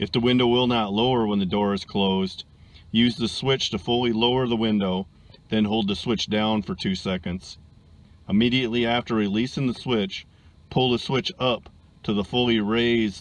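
Recorded with a dry sound with no echo, a man speaks at a moderate pace. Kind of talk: tutorial. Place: car. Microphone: phone near.

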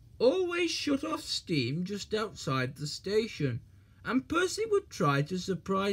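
The clip has a natural reading voice. That voice carries the whole recording.

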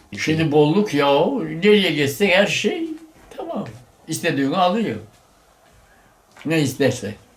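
Amid noticeable background noise, a man with a fairly high pitch talks at a fairly slow pace, leaving long, frequent pauses. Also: lively intonation. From Giresun, Turkey. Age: 80s+. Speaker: former shepherd. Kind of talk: interview answer.

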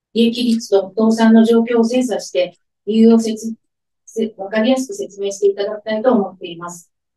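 A woman with a fairly high pitch and a dark, mellow, somewhat breathy tone speaks at a moderate pace against a quiet background, her intonation fairly even but her loudness swinging widely. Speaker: head of care division at a welfare organization. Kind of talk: press conference statement. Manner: formal. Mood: earnest, measured protest tone. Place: meeting room.

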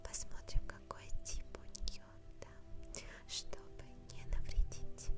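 Very slow whispering from a woman. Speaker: ASMR creator. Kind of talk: ASMR skincare role play. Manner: whispered, soft-spoken. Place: home room.

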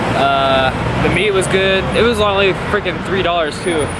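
A man talks at a fairly slow pace. Loud background noise sits behind him. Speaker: travel vlogger. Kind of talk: casual vlog chat. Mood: upbeat, joking. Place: street. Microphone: phone near.

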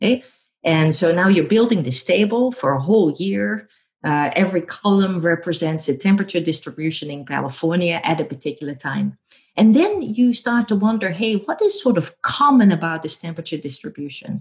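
Speaking fairly quickly with a Dutch accent, a woman with a fairly low, somewhat breathy voice uses lively intonation against a quiet background. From Netherlands. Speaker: professor. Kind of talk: interview. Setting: remote call. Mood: warm, cheerful. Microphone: earbuds.

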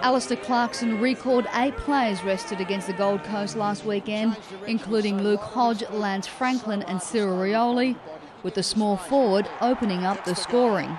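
Speaking with an Australian accent, a woman talks at a moderate pace and a fairly high pitch with ordinary pitch variation. Noticeable background noise is present. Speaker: sports reporter narrating match highlights. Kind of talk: scripted highlights narration over match footage. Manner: brisk, punchy voice-over delivery.

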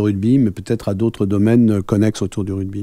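A man speaks at a fairly low pitch with a dark, mellow tone. The sound is dry with no echo, and the background is quiet. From France. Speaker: rugby club president; interviewee. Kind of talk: radio interview. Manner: hesitant, many fillers. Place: studio. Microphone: studio mic.

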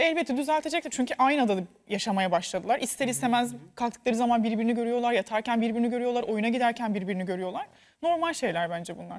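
A woman talks at a very fast pace and a fairly high pitch. Her intonation is lively. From Turkey. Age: 20s. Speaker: TV commentator and former contestant; TV show co-host. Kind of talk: casual chat. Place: studio. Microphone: lapel.

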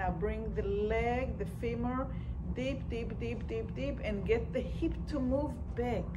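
A woman takes her words fairly slowly while noticeable noise sounds in the background. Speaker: movement instructor. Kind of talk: guided movement class, giving calm step-by-step cues. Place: hall. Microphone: camera far.

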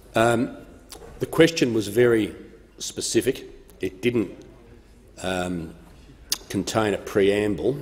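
Speaking at a very slow pace with an Australian accent, this voice has ordinary pitch variation and long, frequent pauses. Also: man. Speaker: parliamentary speaker; speaker. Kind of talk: chairing parliamentary proceedings. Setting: parliament chamber. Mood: firm, slightly stern in rulings. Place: hall. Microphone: podium.

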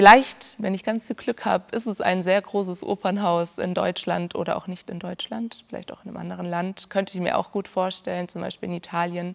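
At a moderate pace, a woman talks with fairly even intonation. The background is quiet. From southern Germany, Ulm (Swabia); southern Germany. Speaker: music student, classical singer. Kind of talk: interview. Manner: hesitant, many fillers. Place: stage.

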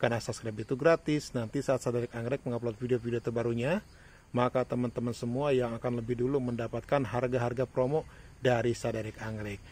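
A man talks very fast at a medium pitch, somewhat breathy, with a monotone, flat intonation. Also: dry sound with no echo. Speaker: orchid seller. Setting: video recording in front of a camera, showing plants. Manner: fast, run-on, repetitive patter with 'ya' tags, urging buyers not to wait. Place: garden. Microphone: phone near.

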